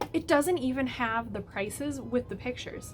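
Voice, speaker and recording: With music in the background, a woman talks in an animated tone at a fairly quick pace. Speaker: plant YouTuber. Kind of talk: casual vlog commentary.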